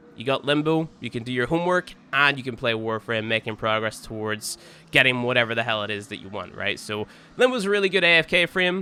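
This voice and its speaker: A man talks at a fairly quick pace and medium pitch, with a bright, sharp tone. His intonation is lively, and his loudness swings widely. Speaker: gaming youtuber. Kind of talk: gameplay commentary. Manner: casual, filler-heavy.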